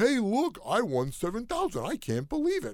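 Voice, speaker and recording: In a put-on character voice, this man delivers his lines at a moderate pace, his pitch sitting high. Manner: feigned surprise, bragging.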